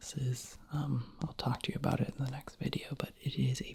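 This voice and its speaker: Someone whispers in a relaxed tone. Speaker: ASMR creator. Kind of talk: soft-spoken ASMR chat to camera. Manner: soft-spoken, relaxed, rambling.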